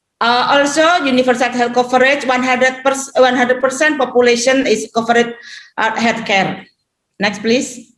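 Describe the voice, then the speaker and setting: A woman with an Indonesian accent speaks at a moderate pace and a high pitch. Her loudness stays very even, and her intonation is fairly even. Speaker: regional government head. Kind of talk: conference presentation. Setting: webinar. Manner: halting.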